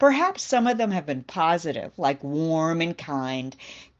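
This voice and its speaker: With an American accent, an unremarkable speaking voice moves at a fairly slow pace using lively intonation. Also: woman. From United States. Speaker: devotional speaker, university teacher. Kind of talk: devotional talk.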